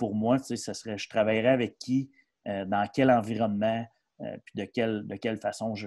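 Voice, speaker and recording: A man's dark, mellow voice at a moderate pace, monotone and flat, over a quiet background. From Quebec, Mauricie (Shawinigan-Sud); Quebec. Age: 40s. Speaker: hockey coach and player agency advisor; hockey coach. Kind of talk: casual interview. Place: home room. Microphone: earbuds.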